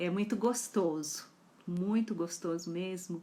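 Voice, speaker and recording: A woman speaks with fairly even intonation at a fairly low pitch. Her tone is dark and mellow, on a very clean recording with a silent background. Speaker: psychology educator. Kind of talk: live talk.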